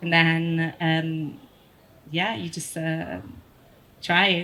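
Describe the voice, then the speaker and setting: A woman's fairly low voice with an Italian accent. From Italy. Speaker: photographer. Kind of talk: panel discussion. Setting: stage with audience.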